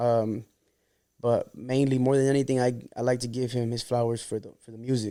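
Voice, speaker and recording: A man speaks fairly quickly in a dark, mellow tone with monotone, flat intonation. His loudness swings a lot. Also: medium pitch for a man. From Santa Ana, Orange County, California. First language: Spanish. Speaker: rapper. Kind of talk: podcast interview. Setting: studio. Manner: casual, filler-heavy.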